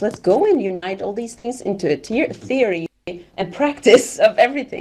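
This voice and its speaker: A woman speaks at a moderate pace with a non-native accent. Her high voice swings very widely in pitch. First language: not English. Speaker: event organizer. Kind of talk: group discussion.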